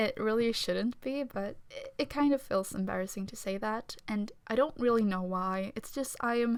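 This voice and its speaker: Soft-spoken and fairly high in pitch, a woman talks at a moderate pace. She leaves hardly any pauses. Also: ordinary pitch variation. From Sweden. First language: Swedish. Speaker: amateur artist, YouTuber. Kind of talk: casual voiceover chat. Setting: at home, family downstairs. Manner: soft-spoken, quiet; hesitant, many fillers.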